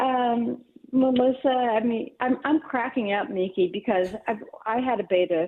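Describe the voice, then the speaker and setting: Fairly high in pitch, a woman's normal speaking voice moves at a fairly slow pace with ordinary pitch variation. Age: 60s. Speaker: radio call-in listener. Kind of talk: call-in chat.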